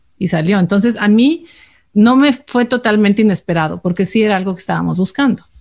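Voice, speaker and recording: A somewhat breathy woman at a fairly quick pace, with very even loudness and ordinary pitch variation. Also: medium pitch for a woman. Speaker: podcast co-host, expatriate. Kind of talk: casual chat.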